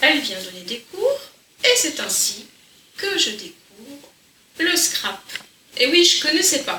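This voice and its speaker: Over noticeable background noise, a woman uses a raised, projected voice at an extremely high pitch, speaking at a very slow pace with long, frequent pauses, very wide pitch swings and big swings in loudness. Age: 60s. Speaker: crafts youtuber. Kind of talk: casual chat. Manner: conversational.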